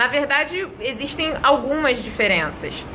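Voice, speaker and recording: A woman with a Rio de Janeiro accent at a moderate pace, over noticeable background noise. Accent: Rio de Janeiro (carioca). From Brazil, Rio de Janeiro. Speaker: English teacher. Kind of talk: tutorial. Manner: conversational, addresses viewers directly.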